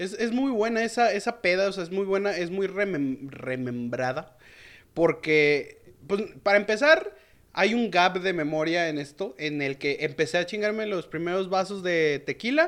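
At a fairly slow pace, a man speaks with a high pitch. His intonation is lively. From Mexico, León, Guanajuato. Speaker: fellow podcaster. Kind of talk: casual chat.

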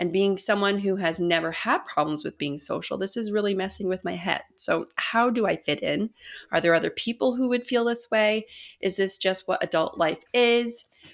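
Recorded very cleanly with a silent background, a woman in an ordinary speaking voice talks at a moderate pace and medium pitch, with ordinary pitch variation. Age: 20s. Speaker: podcast host. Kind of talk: casual interview.

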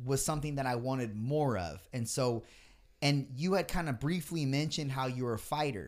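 On a very clean recording with a silent background, a man with a plain, everyday voice speaks at a moderate pace, his pitch fairly high and his pitch variation ordinary. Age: 30s. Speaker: podcast host. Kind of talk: casual chat.

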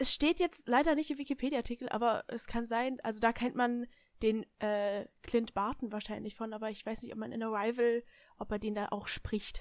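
An ordinary speaking voice from a woman, fairly high in pitch, at a moderate pace with ordinary pitch variation. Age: young. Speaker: podcast guest, friend of the hosts. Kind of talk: casual chat.

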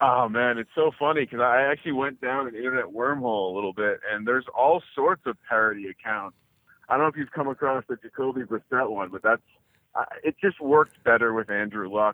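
A man with an American accent talks in a plain, everyday voice at medium pitch. His pace is fairly quick, with ordinary pitch variation. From New Jersey. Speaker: sports gambling podcast co-host. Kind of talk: interview. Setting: phone call.

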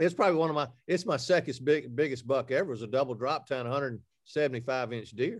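Over a quiet background, a man with an Alabama accent speaks at a very fast pace, with a medium pitch and ordinary pitch variation. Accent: Southern US (Alabama). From Alabama, US South. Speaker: hunting TV host and outdoor media founder. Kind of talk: casual interview chat.

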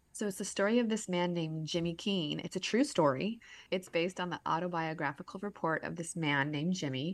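In an ordinary speaking voice, a woman speaks fairly quickly at a fairly low pitch, with ordinary pitch variation over a quiet background. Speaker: podcast co-host. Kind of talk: casual chat.

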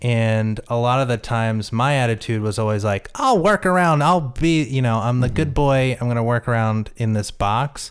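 A man speaks in a normal speaking voice at medium pitch and a moderate pace, his loudness very even and hardly any pauses between words. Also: ordinary pitch variation. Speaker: film director. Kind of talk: casual interview chat.

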